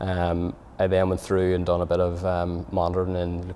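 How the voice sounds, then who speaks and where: With a Belfast accent, the speaker talks in a monotone, flat way over light background noise. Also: man. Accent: Belfast Northern Irish. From Northern Ireland, Belfast. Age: 30s. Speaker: cardiac arrest survivor, amateur footballer. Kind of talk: personal testimony. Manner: halting, many fillers and repetitions. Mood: calm, grateful.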